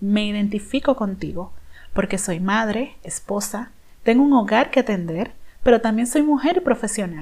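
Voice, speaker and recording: Somewhat breathy, a woman with a fairly high pitch speaks at a moderate pace with ordinary pitch variation. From Dominican Republic. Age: 30s. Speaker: personal branding consultant, podcast host. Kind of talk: podcast monologue, personal story.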